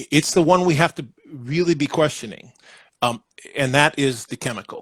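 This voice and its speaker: A man with a fairly high, somewhat breathy voice speaks at a moderate pace with ordinary pitch variation and big swings in loudness, in a dry, close recording with no echo. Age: 60s. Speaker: founder of a brain health company. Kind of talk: interview.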